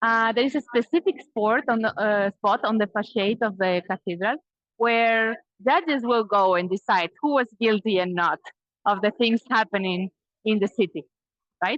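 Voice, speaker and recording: A fairly high-pitched woman's voice with a Spanish accent, moderate in pace, with ordinary pitch variation and a dry, close sound with no echo. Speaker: Spanish teacher and tour guide. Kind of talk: live virtual tour guiding.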